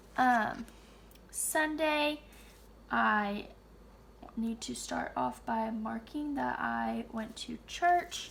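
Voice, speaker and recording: A woman talks quietly at a very slow pace. Her speech has long, frequent pauses. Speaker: planner content creator. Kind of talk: casual plan-with-me narration. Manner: quiet, subdued; hesitant, filler-heavy.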